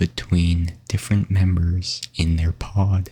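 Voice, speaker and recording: Soft-spoken and somewhat breathy, with monotone, flat intonation. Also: man. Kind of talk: ASMR sleep fact narration.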